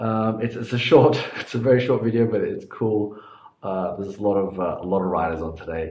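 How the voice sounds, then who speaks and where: A man's fairly low voice in audible room echo. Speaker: cycling vlogger. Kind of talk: casual vlog chat. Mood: relaxed, apologetic. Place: home room. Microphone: phone near.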